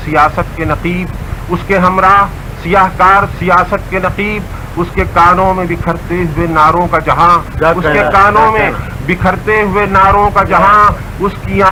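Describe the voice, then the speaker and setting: Noticeable background noise sits behind a man speaking. His high voice has monotone, flat intonation. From Lucknow, India. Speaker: Urdu poet. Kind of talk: poetry reading. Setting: radio broadcast.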